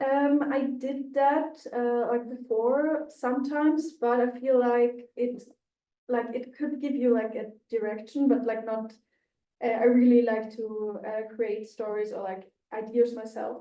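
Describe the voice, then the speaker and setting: Speaking fairly slowly, a woman has a high pitch with fairly even intonation. She talks with a non-native accent. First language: not English. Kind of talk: casual discussion. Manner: frequent 'like' fillers.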